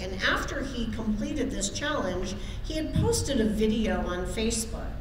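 The room has an audible echo, with noticeable noise behind the voice. Speech moves at a moderate pace. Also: woman. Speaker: lay minister. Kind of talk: sermon. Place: church. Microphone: podium.

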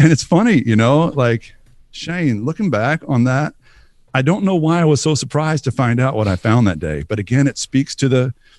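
A man with an American accent, very wide pitch swings, a dry sound with no echo and a quiet background. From US South, Northeast Texas (Bowie County); Texas. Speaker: pastor. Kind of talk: interview. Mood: reflective, personal story. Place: studio. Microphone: studio mic.

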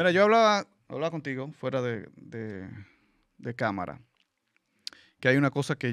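Against a quiet background with a dry sound and no echo, a man uses lively intonation at a moderate pace, with long, frequent pauses. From Venezuela. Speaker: panelist. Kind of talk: casual chat. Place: studio. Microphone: studio mic.

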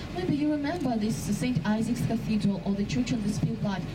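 The speech moves at a moderate pace against noticeable background noise. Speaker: tour guide. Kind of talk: live guided boat-tour narration pointing out passing sights to tourists. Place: boat.

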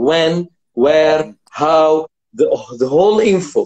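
A man's high voice with an Arabic accent against a quiet background. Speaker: vocal coach and show host; vocal coach, show host. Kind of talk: live interview stream. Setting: video call. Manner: animated. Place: home room. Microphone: phone near.

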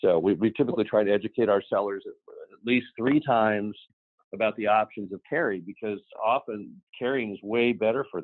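Over a quiet background, a man talks fairly quickly with ordinary pitch variation in a dry sound with no echo. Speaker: real estate investor. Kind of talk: interview. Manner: conversational. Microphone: video call.

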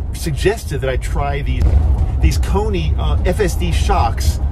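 A man's voice with ordinary pitch variation over clear music in the background. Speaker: RV owner vlogger. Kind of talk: casual vlog chat. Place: car. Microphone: phone near.

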